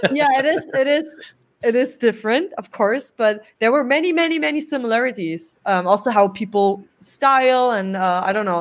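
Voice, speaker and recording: Speaking at a moderate pace in a German accent, a woman uses a high pitch with very wide pitch swings. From Germany. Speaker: rock band singer. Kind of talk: interview.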